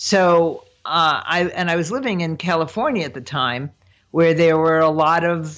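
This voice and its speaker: At a fairly slow pace, a woman speaks in a very deep, low pitch. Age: 70s. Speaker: prosperity coach. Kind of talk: interview.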